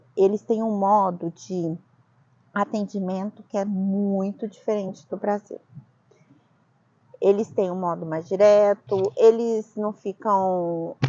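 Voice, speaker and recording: In a strong Brazilian accent, a woman speaks at a very slow pace with fairly even intonation and long, frequent pauses. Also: medium pitch for a woman. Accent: strong Brazilian accent in Italian. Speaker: vlogger, immigrant. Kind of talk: casual discussion.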